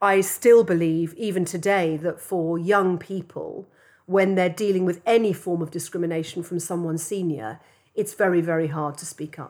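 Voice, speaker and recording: A woman with an English accent, fairly low pitch and fairly even intonation, in a very clean recording with a silent background. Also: moderate pace. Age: 50s. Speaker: advertising entrepreneur. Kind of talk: interview.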